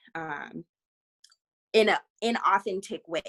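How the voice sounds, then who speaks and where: A woman speaks with lively intonation. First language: not English (English is third language). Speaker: community organization staff member. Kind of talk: online community meeting.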